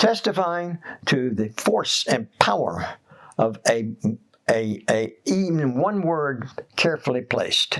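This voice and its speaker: A man at a very slow pace with very wide pitch swings. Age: 80s+. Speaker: writer. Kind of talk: interview answer.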